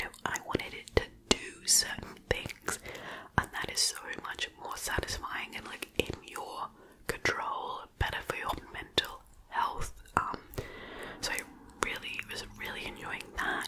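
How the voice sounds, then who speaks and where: Whispering in an Australian accent, the speaker goes at a fairly slow pace with long, frequent pauses over noticeable background noise. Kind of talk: casual talk to camera. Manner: whispered.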